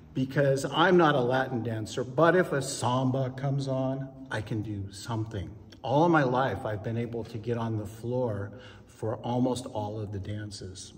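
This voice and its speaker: A man's medium-pitched voice at a moderate pace, with ordinary pitch variation, audible room echo, and noticeable background noise. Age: 60s. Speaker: ballroom dancer. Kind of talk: interview.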